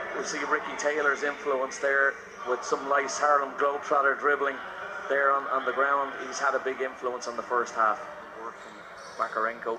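An animated man at a fairly high pitch and moderate pace, with big swings in loudness and noticeable background noise. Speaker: basketball commentator. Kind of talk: live sports commentary. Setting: arena broadcast. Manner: animated, fluent play-by-play with analyst-style asides.

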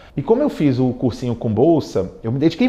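Dark and mellow in tone, a man speaks at medium pitch. His pace is fairly quick. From Brazil, Rio de Janeiro. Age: 40s. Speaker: tech executive and alumnus. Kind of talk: interview testimony. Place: studio. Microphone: lapel.

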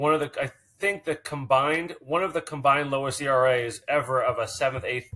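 A man at medium pitch, bright and sharp in tone, with fairly even intonation and a fairly quick pace

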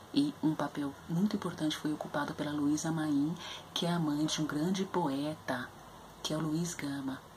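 At a moderate pace, a woman talks in a very deep, low pitch with fairly even intonation over light background noise. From Brazil, São Paulo periphery (Capão Redondo). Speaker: literature educator presenting books. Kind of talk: educational book review video. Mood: earnest, thoughtful. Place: home room. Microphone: webcam.

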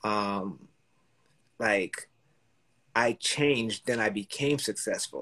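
The voice is a man's. Little can be heard behind him, as the background is quiet. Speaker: real estate entrepreneur. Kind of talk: casual interview. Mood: reflective, earnest. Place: home room. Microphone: video call.

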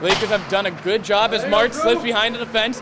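A man speaks in a raised, projected voice. Noticeable background noise runs underneath. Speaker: play-by-play commentator. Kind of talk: live sports commentary (play-by-play). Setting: broadcast booth at a hockey game. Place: stadium.

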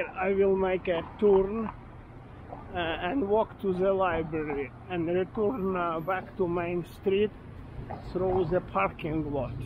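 A man's very slow, high-pitched speech in a relaxed tone, with ordinary pitch variation, long, frequent pauses and noticeable background noise. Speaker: walking tour vlogger. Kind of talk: self-guided walking tour narration, pointing out local history and shops. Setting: outdoors. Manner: rambling, halting with frequent fillers and self-corrections; relaxed, chatty, laughs casually while walking.

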